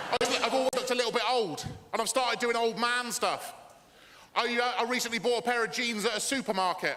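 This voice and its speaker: In an English accent, a man uses a raised, projected voice at an extremely high pitch, very fast, with very even loudness and fairly even intonation. Audible room echo and noticeable background noise fill the recording. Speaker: stand-up comedian. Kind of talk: stand-up. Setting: stage with audience.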